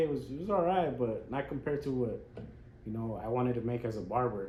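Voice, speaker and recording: A man speaks in a medium pitch, somewhat breathy, with lively intonation. His fairly quick delivery carries audible room echo. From Las Vegas, US. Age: 30s. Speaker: barber. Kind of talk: casual chat.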